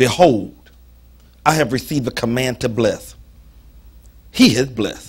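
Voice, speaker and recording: Animated and somewhat breathy, fairly slow with long, frequent pauses and ordinary pitch variation, over a quiet background. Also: man. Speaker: preacher. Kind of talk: sermon. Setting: church. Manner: animated, call-and-response style, preaching with humor and emphasis. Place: church.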